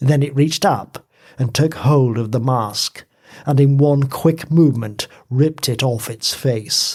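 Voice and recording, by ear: In a natural voice, someone reads the text aloud.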